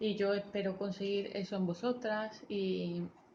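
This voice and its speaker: A woman speaks in a somewhat breathy voice. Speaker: vlogger. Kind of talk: personal vlog talking to camera.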